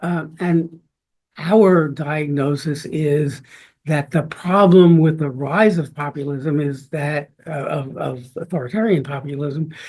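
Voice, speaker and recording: A somewhat breathy man speaks at a very slow pace with fairly high pitch. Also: fairly even intonation. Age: 80s+. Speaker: law professor, book co-author. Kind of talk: book launch talk. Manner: halting, many fillers.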